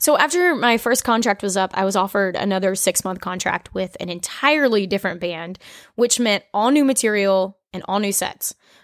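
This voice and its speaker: A woman with an American accent and a medium pitch speaks at a fairly quick pace with ordinary pitch variation, on a very clean recording with a silent background and a dry, close sound with no echo. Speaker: podcast host and singer. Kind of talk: solo podcast monologue, storytelling. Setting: home kitchen. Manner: casual, chatty.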